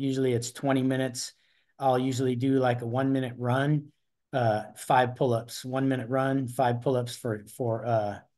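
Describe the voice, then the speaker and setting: Over a quiet background, a man with a medium-pitched, dark, mellow tone speaks in a flat monotone at a moderate pace. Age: 60s. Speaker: masters athlete, retired corrections officer. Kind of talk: interview answer.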